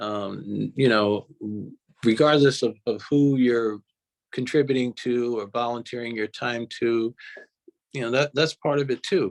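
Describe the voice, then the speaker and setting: A man of medium pitch speaks at a fairly slow pace with fairly even intonation and long, frequent pauses, in a dry, close sound with no echo. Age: 60s. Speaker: recovering addict telling his story. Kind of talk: interview. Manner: halting, many repetitions and fillers.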